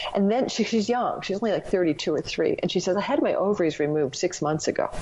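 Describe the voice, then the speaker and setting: With a Canadian accent, a woman at medium pitch talks at a very fast pace with lively intonation and very even loudness, amid noticeable background noise. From Canada, Ontario. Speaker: astrologer and former psychic medium. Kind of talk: casual interview storytelling.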